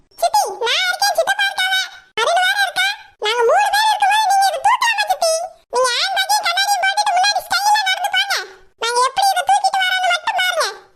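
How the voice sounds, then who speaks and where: This is a cartoonish character voice. It moves at a moderate pace with ordinary pitch variation. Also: woman, extremely high pitch for a woman. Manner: flattering, sweet-talking.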